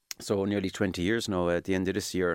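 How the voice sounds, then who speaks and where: A man with a Cork accent talks at a very fast pace, his voice dry and close with no echo on a very clean recording against a silent background. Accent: Cork Irish. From Ireland, East Cork (Midleton). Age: 40s. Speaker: engineer and home builder. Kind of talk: interview.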